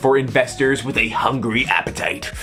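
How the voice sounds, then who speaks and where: A man's medium-pitched voice, animated in tone and moderate in pace, with music in the background. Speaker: commentary youtuber. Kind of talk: reaction commentary reading an article. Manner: casual, animated.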